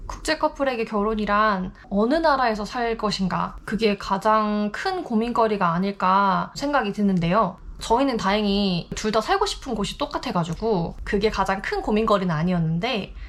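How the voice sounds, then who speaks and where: A moderate pace with hardly any pauses and ordinary pitch variation. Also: woman. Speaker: YouTuber in international couple. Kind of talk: vlog monologue to camera.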